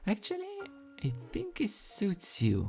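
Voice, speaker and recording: A man with a non-native accent talks in a somewhat breathy voice. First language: not English. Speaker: fanfiction reader, youtuber. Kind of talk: reading aloud. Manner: halting.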